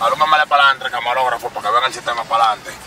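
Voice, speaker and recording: A man speaks with a Dominican accent. The sound is dry with no echo, with noticeable background noise. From Dominican Republic. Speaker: vlogger and rapper; vlogger. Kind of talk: casual vlog. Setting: in a car. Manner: animated. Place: car. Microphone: camera far.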